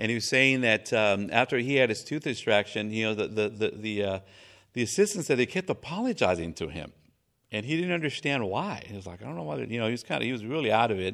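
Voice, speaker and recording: Over a silent background in a very clean recording, a man talks at a very fast pace with lively intonation. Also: medium pitch for a man. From Mexico. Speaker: pastor. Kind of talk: sermon. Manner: halting, many fillers.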